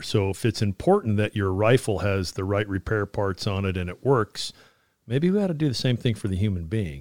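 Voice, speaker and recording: With a plain, everyday voice, a man speaks at a moderate pace and fairly low pitch with ordinary pitch variation, the sound dry and close with no echo in a very clean recording with a silent background. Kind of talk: interview about Army fitness. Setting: studio.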